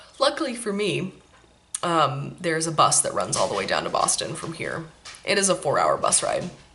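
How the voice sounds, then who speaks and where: Over noticeable background noise, a woman with an American accent talks at a moderate pace in a relaxed tone. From Maine, then California as a child. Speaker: knitting podcast host. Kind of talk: casual chat. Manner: relaxed, many fillers.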